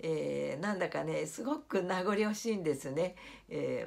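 Speaking at a fairly slow pace, a woman's voice shows vocal fry. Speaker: YouTuber; home vlogger. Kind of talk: vlog monologue. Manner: formal polite; hesitant, many fillers. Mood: warm, nostalgic, smiling. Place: home room. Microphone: phone near.

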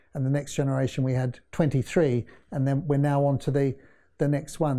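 Against a quiet background, a man with a New Zealand accent speaks in a dark, mellow tone. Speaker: interview guest. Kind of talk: interview. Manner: halting. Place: studio. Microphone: lapel.

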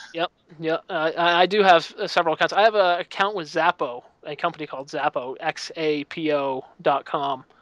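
A man's high-pitched voice with an American accent and ordinary pitch variation, dry with no echo, over a quiet background. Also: moderate pace. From United States. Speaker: libertarian news website owner. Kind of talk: casual chat. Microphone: headset.

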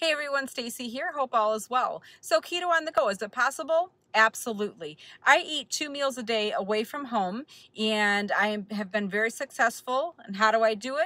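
Bright and sharp in tone, a woman's voice comes over a quiet background. There is no echo, just a dry sound. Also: moderate pace. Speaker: keto vlogger. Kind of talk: casual vlog chat. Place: car. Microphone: phone near.

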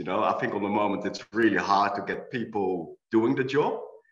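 A man speaks at a medium pitch with ordinary pitch variation. There is audible room echo over a quiet background. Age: 50s. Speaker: architect and owner builder; panelist. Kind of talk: panel discussion. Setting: video call. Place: home room. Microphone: video call.

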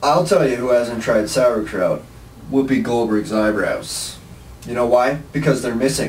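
A man speaks with ordinary pitch variation. Light background noise and audible room echo are present. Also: fairly slow pace. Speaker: comedy show host or guest. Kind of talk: comedic banter. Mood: joking, deadpan humor. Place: studio.

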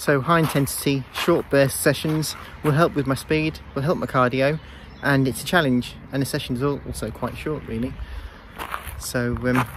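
The speaker's intonation stays fairly even against noticeable background noise. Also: man, moderate pace, dry sound with no echo. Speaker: runner vlogger. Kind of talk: casual vlog chat. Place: garden. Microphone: earbuds.

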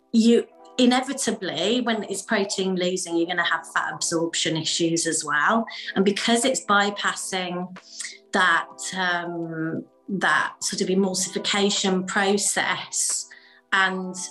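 Faint music plays in the background as a woman talks. Her pace is fairly slow, with ordinary pitch variation. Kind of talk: interview answer. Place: home room.

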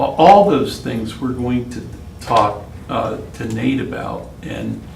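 A man with an American accent speaks very slowly, his loudness swinging widely, amid audible room echo and noticeable background noise. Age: 60s. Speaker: city attorney. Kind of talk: council meeting remarks. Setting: city council meeting. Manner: halting, repetitive.

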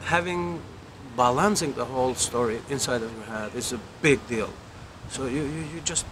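A man speaks at a moderate pace with ordinary pitch variation. Noticeable background noise sits behind him. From Albania. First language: Albanian. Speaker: film director. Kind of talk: interview. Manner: halting, with repetitions. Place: garden.

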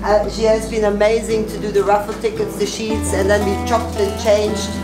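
A woman speaks over loud music playing in the background. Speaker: host of fundraiser dinner. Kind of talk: speech to guests. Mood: warm, grateful. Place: cafe. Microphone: camera far.

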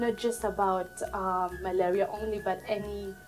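Faint music plays behind a woman speaking at a medium pitch with fairly even intonation. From Burundi. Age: 20s. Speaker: Red Cross volunteer. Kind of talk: interview answer. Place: office.

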